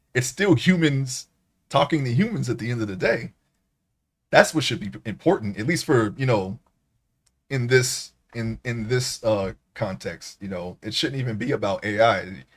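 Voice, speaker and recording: A man's somewhat breathy voice moves with lively intonation, broken by long, frequent pauses. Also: medium pitch for a man, moderate pace. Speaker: streamer. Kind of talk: casual chat. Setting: live stream. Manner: halting.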